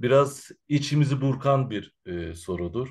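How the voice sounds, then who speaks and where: Against a quiet background, a man speaks at medium pitch. He takes a fairly slow pace with lively intonation. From Turkey, Izmir (from age 5, born in Central Anatolia). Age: 40s. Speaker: Roma researcher and activist. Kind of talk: interview. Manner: hesitant, many filler sounds.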